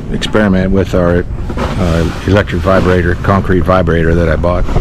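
Against noticeable background noise, a man speaks at a moderate pace in a dry sound with no echo. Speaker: builder vlogger. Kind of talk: casual vlog chat. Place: open country. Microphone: phone near.

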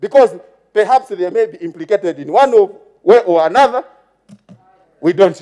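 With a Zambian accent, a man speaks in a high voice at a moderate pace, using lively intonation and long, frequent pauses. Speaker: member of parliament. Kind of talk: parliamentary maiden speech, formal address to the Speaker; partisan parliamentary oratory attacking the former ruling party. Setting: parliament chamber. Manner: formal, repeatedly addressing Madam Speaker between clauses; halting with fillers, heckled by chamber murmurs of agreement.

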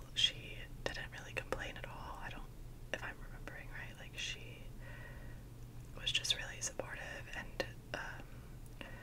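A woman talks at a fairly slow pace with long, frequent pauses, over noticeable background noise. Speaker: ASMR creator. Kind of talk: whispered ASMR ramble / story time to camera. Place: home room. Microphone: studio mic.

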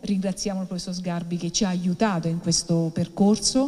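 Ordinary pitch variation against a quiet background. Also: woman. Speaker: event presenter; presenter. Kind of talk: event introduction. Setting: stage with audience. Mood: grateful, earnest. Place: hall. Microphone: podium.

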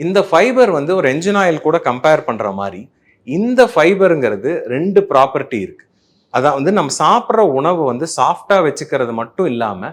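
Vocal fry runs through this man's fairly high voice as it makes very wide pitch swings. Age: 40s. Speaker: gastroenterologist. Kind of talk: health explainer talk. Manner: conversational, Tamil-English code-mixing.

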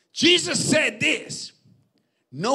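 The voice is raised and projected. The background stays quiet. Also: man. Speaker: preacher. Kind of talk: sermon. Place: stage. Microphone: handheld.

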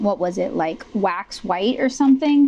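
Fairly slow speech from a woman with a dark, mellow tone, over light background noise. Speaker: artist tutorial narrator. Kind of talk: tutorial.

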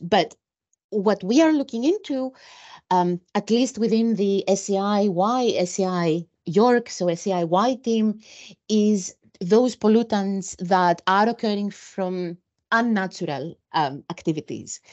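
At a fairly slow pace, a woman speaks at a medium pitch with a slightly mellow tone and ordinary pitch variation.

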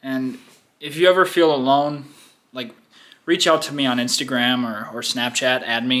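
A male speaker, moderate pace, ordinary pitch variation. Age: 20s. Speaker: YouTube vlogger. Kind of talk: casual vlog monologue. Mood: reflective, somewhat somber.

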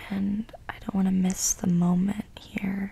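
A woman whispers at a very slow pace. She is soft-spoken. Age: 20s. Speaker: ASMR content creator. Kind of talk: ASMR rambling to camera. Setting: home recording, condenser mic. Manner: whispered, soft-spoken. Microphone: studio mic.

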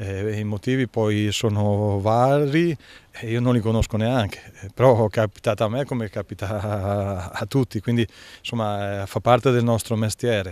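Here a man talks at a fairly slow pace with fairly even intonation and a fairly low pitch. The sound is dry, with no echo. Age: 50s. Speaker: football coach. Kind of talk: press interview. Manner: halting, many fillers. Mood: relaxed, smiling at times. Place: garden. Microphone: handheld.

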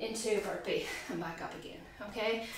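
Fairly slow speech from a woman, set in audible room echo over light background noise. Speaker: fitness instructor. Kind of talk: tutorial. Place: garage.

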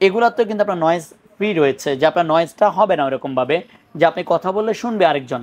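This man speaks with a high pitch and lively intonation. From Bangladesh. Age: 30s. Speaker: shop salesman. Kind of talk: product demonstration. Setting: showroom. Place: shop. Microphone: lapel.

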